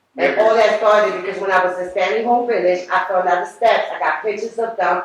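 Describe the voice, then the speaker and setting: Amid audible room echo, a woman talks in an animated tone at a fairly high pitch. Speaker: public housing tenant giving public comment. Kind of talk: public comment at board meeting. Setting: public board meeting. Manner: loud; animated, emotional.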